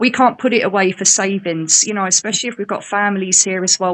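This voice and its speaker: Speaking very fast, a woman with an English accent keeps a medium pitch and fairly even intonation. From England. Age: 40s. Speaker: caller. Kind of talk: call-in discussion.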